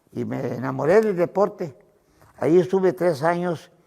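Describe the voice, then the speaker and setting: Ordinary pitch variation in a man's dark, mellow tone. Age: 80s+. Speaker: retired bodybuilding champion. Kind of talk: interview. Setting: his gym. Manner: halting, with fillers.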